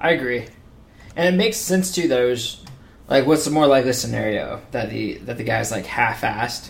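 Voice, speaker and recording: An ordinary speaking voice from a man at a moderate pace. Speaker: sports podcast host. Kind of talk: casual sports podcast chat.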